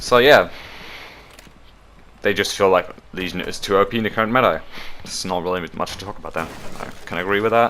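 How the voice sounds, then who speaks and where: Very fast speech from a man with a non-native accent breaks up with long, frequent pauses. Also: fairly low pitch for a man, fairly even intonation. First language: not English. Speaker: gaming YouTuber. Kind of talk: casual commentary reading patch notes. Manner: hesitant, self-correcting.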